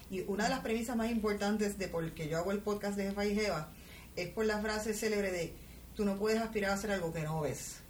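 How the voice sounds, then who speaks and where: A woman talks very fast at a medium pitch, with fairly even intonation and very even loudness. Noticeable background noise and audible room echo come through. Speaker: podcast host, entrepreneur and finance educator. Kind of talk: interview.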